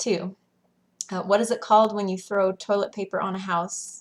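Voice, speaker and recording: A woman with a Western US accent, monotone, flat intonation and a moderate pace, on a very clean recording with a silent background. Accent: Western American. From Western United States. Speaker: school teacher. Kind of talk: casual talk to camera.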